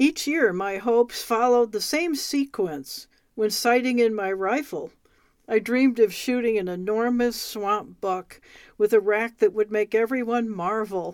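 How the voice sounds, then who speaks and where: Fairly slow speech from a woman with an American accent, an ordinary speaking voice, fairly high pitch and ordinary pitch variation, in a very clean recording with a silent background. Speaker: radio host reading a book. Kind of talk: reading aloud.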